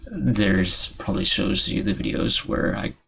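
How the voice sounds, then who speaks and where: A man speaks at a fairly slow pace in a fairly low pitch, with vocal fry in his voice. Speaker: YouTuber. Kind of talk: casual commentary on comments. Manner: halting, many fillers.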